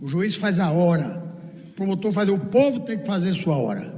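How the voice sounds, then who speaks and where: With noticeable background noise and audible room echo, a man speaks at a fairly slow pace, high in pitch with ordinary pitch variation. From Brazil, Northeast (Paraíba). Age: 80s+. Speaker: law professor and speaker. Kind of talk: lecture with audience Q&A. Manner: animated.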